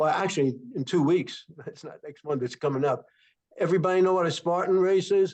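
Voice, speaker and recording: A man speaks at a fairly quick pace and high pitch, with ordinary pitch variation and big swings in loudness. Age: 80s+. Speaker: network marketing distributor. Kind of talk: testimony. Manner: halting.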